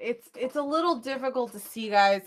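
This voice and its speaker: Bright and sharp in tone, a woman's voice moves at a moderate pace. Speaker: vlogger doing live psychic readings. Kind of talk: casual livestream chat.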